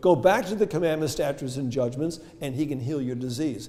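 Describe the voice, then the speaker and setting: A man talks at a fairly high pitch with ordinary variation. The room echo is audible. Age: 70s. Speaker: health lecturer. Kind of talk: lecture. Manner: interactive, asks audience questions.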